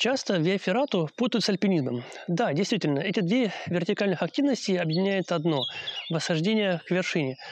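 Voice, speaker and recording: The recording is dry, without echo, and light noise sits behind it. A man speaks rather quickly. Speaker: mountain guide or instructor. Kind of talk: educational explainer. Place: forest.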